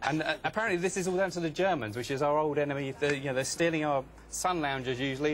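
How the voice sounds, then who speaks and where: With hardly any pauses, a man talks at a very fast pace in a fairly high pitch with ordinary pitch variation. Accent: English. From England, seaside town. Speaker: author and blogger. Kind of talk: TV news interview. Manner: hesitant, many fillers.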